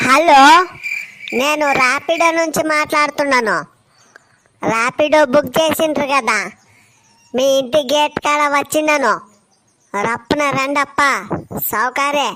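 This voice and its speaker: A woman does a cartoonish character voice with a high pitch. She delivers it at a fairly slow pace. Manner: blunt, colloquial.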